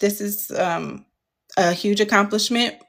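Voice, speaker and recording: A woman's medium-pitched voice with vocal fry, fairly even intonation and a fairly slow pace. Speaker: content creator. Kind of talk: livestream chat. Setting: TikTok livestream. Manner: halting, many fillers.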